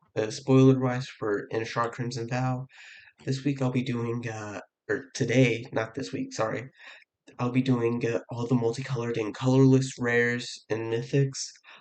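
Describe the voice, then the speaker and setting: This man speaks at a moderate pace and medium pitch. His intonation is monotone and flat. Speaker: card game content creator. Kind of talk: casual talk to camera. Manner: hesitant, many fillers.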